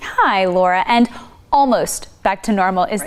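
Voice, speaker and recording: A woman's lively intonation rises above noticeable background noise. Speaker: news anchor. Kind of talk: TV news anchoring.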